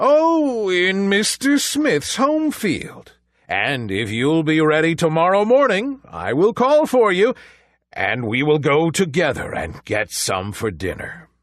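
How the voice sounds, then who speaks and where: Against a quiet background, a man puts on a character voice with a high pitch and a fairly slow pace. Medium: read story. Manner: threatening, sly.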